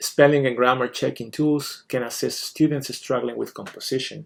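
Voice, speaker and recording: A man with a Spanish accent. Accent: foreign accent (Spanish). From Spain. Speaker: teacher. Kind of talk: scripted presentation. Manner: formal.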